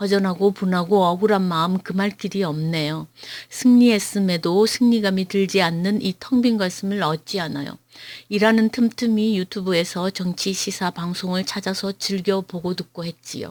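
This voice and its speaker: In a Gyeongsang accent, a woman speaks at a medium pitch and moderate pace. Her intonation stays fairly even. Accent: Gyeongsang dialect pronunciation. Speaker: political YouTuber. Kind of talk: prepared political commentary read aloud. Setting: at home. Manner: measured, read-aloud delivery.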